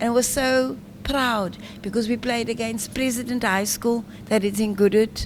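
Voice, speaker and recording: Somewhat breathy and fairly high-pitched, a woman talks at a moderate pace with fairly even intonation. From South Africa, Cape Town. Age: 60s. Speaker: former volleyball player and motivational speaker. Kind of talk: radio interview.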